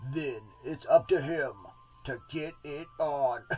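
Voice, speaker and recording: A man puts on a character voice, fairly high in pitch. He talks fairly slowly with fairly even intonation. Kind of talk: dramatic trailer-announcer delivery.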